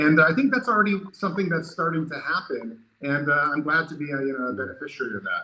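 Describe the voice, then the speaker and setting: A man's fairly high voice at a very fast pace, full of lively intonation. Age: 50s. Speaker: political candidate. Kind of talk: interview.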